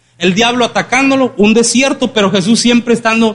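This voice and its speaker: An animated man speaks with a high pitch and ordinary pitch variation. Noticeable background noise sits behind him. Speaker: preacher. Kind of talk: sermon. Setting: church. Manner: animated, interactive, audience-engaging; colloquial, humorous.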